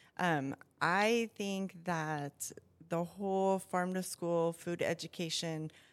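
A fairly low-pitched woman with an American accent at a fairly slow pace, on a very clean recording with a silent background. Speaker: school nutrition services director. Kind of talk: interview. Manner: hesitant, many fillers.

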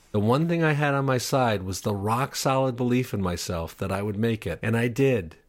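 A man speaks at a medium pitch in a normal speaking voice. His pace is moderate. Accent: American. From Upstate New York. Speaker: stand-up comedian and TV writer. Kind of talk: personal monologue.

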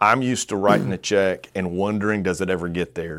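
With a Southern US accent, a man talks at a fairly quick pace in a very deep, low voice with ordinary pitch variation. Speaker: podcast host and pastor. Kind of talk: casual interview chat.

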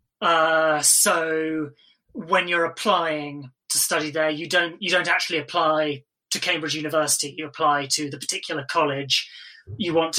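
A man with a British accent, fairly high-pitched for a man, in a flat monotone at a moderate pace. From England. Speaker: film editor, Cambridge graduate. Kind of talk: casual interview. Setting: remote call during lockdown. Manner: hesitant, filler-heavy, laughs.

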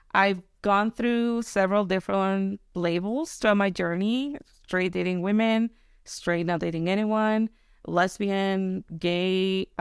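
A woman with a Mexican accent at medium pitch, fairly slow in pace with long, frequent pauses, fairly even intonation and very even loudness, on a very clean recording with a silent background. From Mexico. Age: 30s. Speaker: podcast guest. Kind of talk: casual chat.

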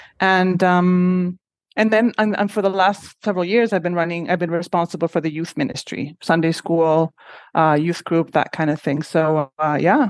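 A woman's voice with a Spanish accent, at a moderate pace and fairly even intonation, dry and close with no echo against a quiet background. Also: fairly low pitch for a woman. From Honduras. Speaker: shelter executive director. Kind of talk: interview.

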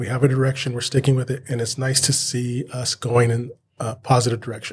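In an American accent, a man speaks at a moderate pace and medium pitch, somewhat breathy, with monotone, flat intonation. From Southern California (Inland Empire). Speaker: teacher and union president. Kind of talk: interview. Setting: not in the studio.

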